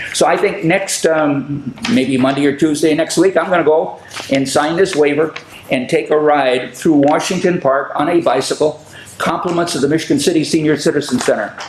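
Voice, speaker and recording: A man's fairly high voice at a moderate pace, with ordinary pitch variation and very even loudness, against noticeable background noise. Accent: American. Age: 80s+. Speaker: public access TV host. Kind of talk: casual chat. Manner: halting.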